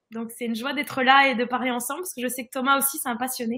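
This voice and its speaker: A woman speaks in a raised, projected voice at a high pitch. Her pace is fairly quick and her intonation fairly even. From northern France. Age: 20s. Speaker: holistic fitness coach. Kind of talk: live-stream interview.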